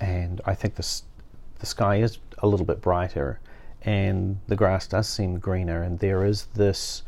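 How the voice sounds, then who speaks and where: A man with a New Zealand accent speaks in a fairly low, somewhat breathy voice. His intonation is flat and monotone, and his pace is fairly slow. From New Zealand, West Auckland. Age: 50s. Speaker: master sommelier and wine educator. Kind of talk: interview conversation.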